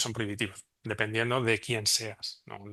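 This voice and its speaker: A bright, sharp-toned male voice over a quiet background. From Spain. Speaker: remote sensing researcher. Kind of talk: conference presentation. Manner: fast.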